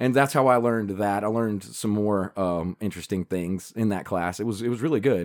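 A man's fairly low voice with ordinary pitch variation and hardly any pauses, on a very clean recording with a silent background. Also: fairly quick pace. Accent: Southern US. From US South, Carolina. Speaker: podcast co-host. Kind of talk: casual chat. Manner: animated.

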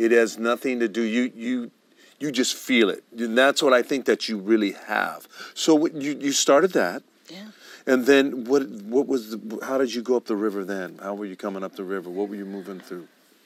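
Man with an ordinary speaking voice, medium pitch, ordinary pitch variation, moderate pace and big swings in loudness. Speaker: TV show host. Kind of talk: interview, casual chat.

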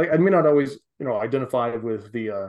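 Someone speaks at a fairly quick pace with an American accent and ordinary pitch variation. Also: man. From US South. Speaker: PhD student. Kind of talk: casual chat. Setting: video call.

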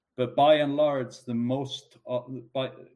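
The speaker is a man. He talks with an Icelandic accent. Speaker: economist. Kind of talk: interview.

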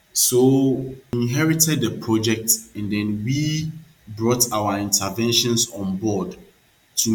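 A man talks with ordinary pitch variation as music plays in the background. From Ghana, Accra (Dansoman). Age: 20s. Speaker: architect. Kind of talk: interview. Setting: studio. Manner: halting, with frequent fillers.

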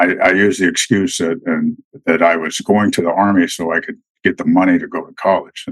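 A man speaks with an American accent in a plain, everyday voice. His pitch is fairly low, with ordinary variation, and his pace is fairly quick. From Colorado and West Texas. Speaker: retired special forces soldier. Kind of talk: casual interview, storytelling.

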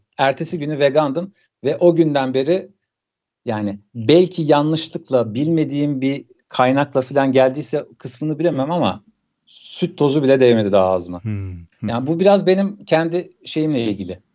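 A man's fairly high voice, an ordinary speaking voice, at a moderate pace with lively intonation. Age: 30s. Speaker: documentary graphics animator and cyclist. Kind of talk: casual interview.

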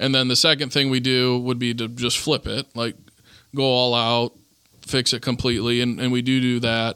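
With a Midwestern American accent, a bright, sharp voice speaks in a monotone, flat intonation on a very clean recording with a silent background. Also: man, medium pitch for a man, moderate pace. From northern Indiana, Goshen. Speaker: real estate investor. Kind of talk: casual interview. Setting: in-person studio with camera.

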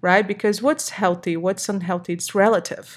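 In a Portuguese accent, a woman speaks on a very clean recording with a silent background. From Brazil. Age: 30s. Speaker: personal trainer and coach. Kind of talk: casual chat. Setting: home recording. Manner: halting, with many fillers.

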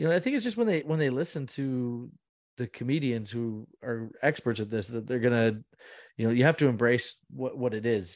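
In a very clean recording with a silent background, a man with a Canadian accent talks at a moderate pace, medium pitch and ordinary pitch variation, an ordinary speaking voice. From Muskoka, Ontario, Canada. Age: 30s. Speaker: stand-up comedian and producer. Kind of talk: interview.

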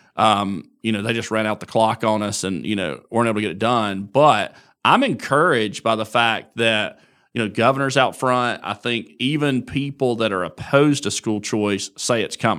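Heard on a very clean recording with a silent background, the voice has a bright, sharp tone and an Alabama accent. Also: man, medium pitch for a man, ordinary pitch variation, moderate pace. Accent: Southern US (Alabama). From US South, northern Alabama (Marshall County). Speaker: politician. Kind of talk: interview.

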